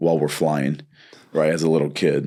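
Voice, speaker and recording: Very deep and low, this man's voice has a dark, mellow tone and monotone, flat intonation. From Southern California (born in Brazil, moved at age 7). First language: Portuguese. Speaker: martial arts instructor and gym owner. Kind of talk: casual interview chat. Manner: casual, many fillers and restarts.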